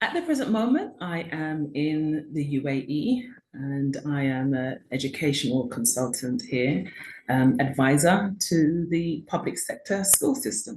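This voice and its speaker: A somewhat breathy woman's voice in a British accent, very deep and low in pitch, with very wide pitch swings at a fairly slow pace. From UK. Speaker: author and educational consultant. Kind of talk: interview. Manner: hesitant, many fillers.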